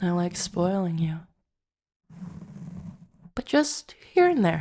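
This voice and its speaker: Speaking at a fairly slow pace, a woman uses a fairly low pitch. Her pitch swings very widely. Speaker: ASMR roleplay voice actor. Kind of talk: roleplay monologue to listener. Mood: affectionate, teasing. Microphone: studio mic.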